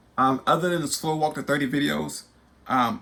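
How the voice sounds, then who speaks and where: A man's bright, sharp tone at a fairly quick pace, with ordinary pitch variation. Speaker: YouTube host and spoken word poet. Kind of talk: personal testimony vlog. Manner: halting, many repetitions and fillers; animated.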